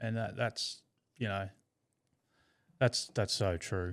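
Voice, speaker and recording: With an Australian accent, a man speaks very slowly at a fairly low pitch, leaving long, frequent pauses, in a very clean recording with a silent background. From Tasmania, Australia. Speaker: brain cancer survivor. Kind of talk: casual chat. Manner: halting, repeats words.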